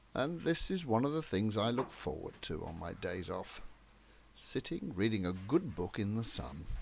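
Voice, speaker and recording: Somewhat breathy, a man at a medium pitch talks at a moderate pace with very wide pitch swings. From England. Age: 60s. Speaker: video diarist. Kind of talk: personal video diary narration.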